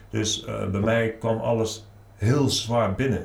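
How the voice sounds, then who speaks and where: A man at a medium pitch in a monotone, flat intonation, with audible room echo. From Netherlands, Nijmegen. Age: 40s. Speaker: author. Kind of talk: interview.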